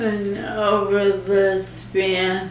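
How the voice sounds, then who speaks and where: A woman's medium-pitched voice at a very slow pace, with audible room echo and noticeable background noise. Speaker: ALS patient. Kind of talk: interview. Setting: nursing home. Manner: halting.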